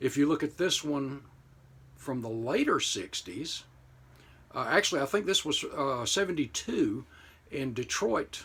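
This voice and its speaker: With an American accent, a man talks in an ordinary speaking voice at a medium pitch, using lively intonation at a moderate pace. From United States. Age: 60s. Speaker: model car hobbyist YouTuber. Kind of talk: casual commentary to camera. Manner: conversational with frequent fillers.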